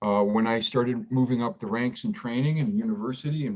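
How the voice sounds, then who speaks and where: Speaking at medium pitch, a man lets his voice swing very widely in pitch. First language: Greek. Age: 50s. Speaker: physician in addiction recovery. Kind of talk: personal testimony interview. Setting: podcast recording. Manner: halting, many fillers and repetitions.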